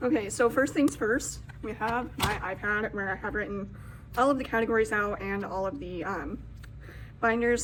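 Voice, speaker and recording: Vocal fry runs through the speech of a woman who talks at a fairly quick pace in a fairly high pitch. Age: 20s. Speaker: budgeting content creator. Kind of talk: casual vlog tutorial. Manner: animated.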